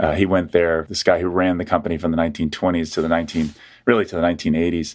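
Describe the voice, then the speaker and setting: In an American accent, a man with a very deep, low pitch talks at a very fast pace on a very clean recording with a silent background. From US South (Atlanta, Georgia). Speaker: history professor. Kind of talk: interview.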